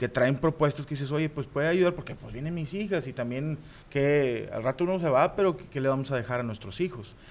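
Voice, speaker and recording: Fairly high pitch from a man, ordinary pitch variation, and a fairly quick pace. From Mexico, Monterrey area (Guadalupe, Nuevo León). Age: 30s. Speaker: comedian and football commentator. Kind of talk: casual chat. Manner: animated.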